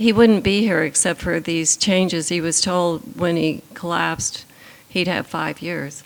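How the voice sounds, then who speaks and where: A woman talks at a fairly slow pace, with noticeable background noise in the recording. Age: 80s+. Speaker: patient's wife and caregiver. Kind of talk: panel conversation.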